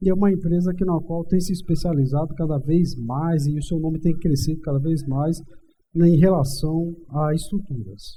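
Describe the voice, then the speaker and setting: With a slight northeastern Brazilian accent, a man talks at a moderate pace in a fairly high pitch, a dark, mellow tone, and fairly even intonation. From Brazilian Northeast. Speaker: civil engineer. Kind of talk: interview. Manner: halting, many fillers.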